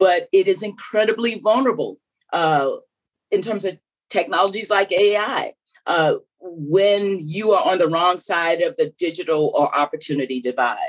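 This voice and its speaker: This woman has a Southern US accent. She talks at a moderate pace. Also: medium pitch for a woman, lively intonation. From US South, South Carolina. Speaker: former telecom regulator and AI commissioner. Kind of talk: interview.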